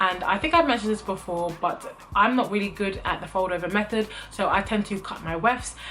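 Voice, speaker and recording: Over music in the background, a speaker with a British accent talks at a fairly quick pace with hardly any pauses and ordinary pitch variation. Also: woman, medium pitch for a woman. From UK. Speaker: beauty vlogger. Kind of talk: product review vlog. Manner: casual, frequent filler ums.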